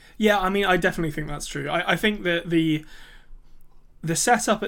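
An English accent marks this voice. It belongs to a man. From England. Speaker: podcast co-host. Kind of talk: casual chat. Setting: remote recording.

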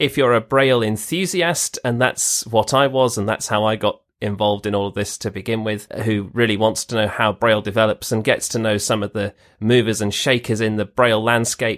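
A man talks at a fairly quick pace with a British accent, his pitch medium and his intonation fairly even. The recording is very clean, with a silent background. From Britain. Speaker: braille organization volunteer. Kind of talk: interview.

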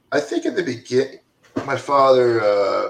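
A man's normal speaking voice with an American accent, medium pitch, moderate pace and ordinary pitch variation. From Florida, Deland near Daytona Beach. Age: 40s. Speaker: recovery advocate, nonprofit founder. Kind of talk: casual chat.

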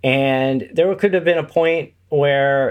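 A man speaks here. His fairly high pitch shows ordinary variation. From Indiana, US Midwest. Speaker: podcast host and network founder. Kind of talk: casual interview.

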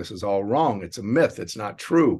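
Against a quiet background, a man talks in a normal speaking voice at a fairly low pitch, moderate pace and lively intonation. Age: 60s. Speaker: company executive. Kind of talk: interview.

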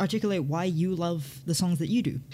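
A woman with a somewhat breathy, dark, mellow tone speaks at a fairly low pitch. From Hong Kong. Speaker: podcast co-host. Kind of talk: casual chat.

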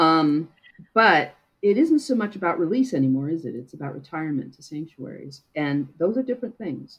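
A woman with an American accent talks at a moderate pace and a fairly low pitch. Her pitch swings very widely, and her loudness shifts in big swings. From US Midwest. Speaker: marine mammal scientist. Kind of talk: interview.

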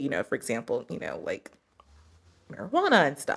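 At a fairly quick pace, a woman talks in an American accent. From US, army family (Kentucky, Missouri, Germany). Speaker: entrepreneur and yoga teacher. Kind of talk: casual interview.

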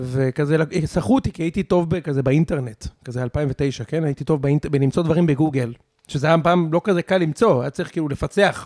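This man has a normal speaking voice, fairly high in pitch, with ordinary pitch variation and a fairly quick pace. The recording is very clean with a silent background, and the sound is dry and close with no echo. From Israel, Savyon and Ramat Gan. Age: 30s. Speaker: podcaster and tech marketer. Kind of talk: casual chat. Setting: dinner at a loft.

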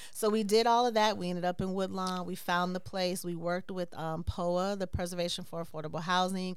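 In a room with audible echo, a woman at a medium pitch speaks very fast in a monotone, flat intonation, with hardly any pauses. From Chicago, US Midwest. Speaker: dance company director and choreographer. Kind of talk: casual interview.

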